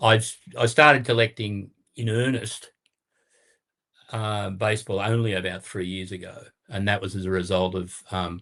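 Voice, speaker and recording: The speaker's intonation stays fairly even, broken by long and frequent pauses. The tone is bright and sharp. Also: man, big swings in loudness. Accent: Australian. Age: 70s. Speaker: card collector. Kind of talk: casual chat.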